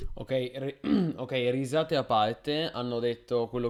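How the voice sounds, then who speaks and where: A man talks at a moderate pace with an Italian accent. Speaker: gaming streamer commentator. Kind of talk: live stream commentary.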